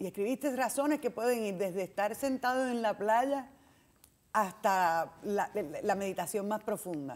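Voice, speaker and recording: Her pace is fairly slow and her pitch fairly high. This woman speaks with lively intonation. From Puerto Rico. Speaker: TV talk show host. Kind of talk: interview. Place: studio. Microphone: lapel.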